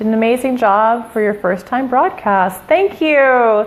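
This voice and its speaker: A woman is speaking. Her intonation is lively. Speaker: shift worker giving fitness tips. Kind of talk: live stream talk. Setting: Facebook live broadcast. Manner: animated.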